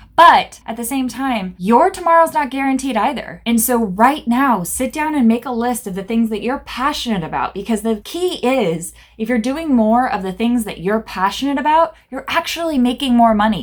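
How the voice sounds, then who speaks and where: A loud, animated woman's voice, high-pitched, with lively intonation, a moderate pace and hardly any pauses. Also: very clean recording, silent background. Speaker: business coach and therapist. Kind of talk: motivational talk to camera. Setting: office.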